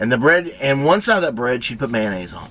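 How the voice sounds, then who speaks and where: Speaking with a Tennessee accent, a man sounds animated as his pitch swings very widely. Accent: Southern US (Tennessee). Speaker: cooking and lifestyle vlogger. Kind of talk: casual storytelling. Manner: fast.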